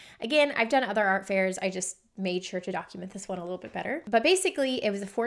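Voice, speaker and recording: A woman speaks at a fairly quick pace. Her pitch shows ordinary variation. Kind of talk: casual vlog chat. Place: workshop.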